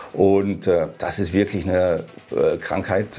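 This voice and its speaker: A man speaks in a very deep, low voice with music playing in the background. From Germany, Hannover. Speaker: oral surgeon. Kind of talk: casual interview.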